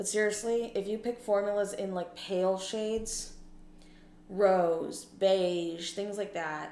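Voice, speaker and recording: A woman speaks at a fairly slow pace with fairly even intonation. Room echo is audible. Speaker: beauty vlogger with low vision. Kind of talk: casual makeup tutorial. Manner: casual, chatty.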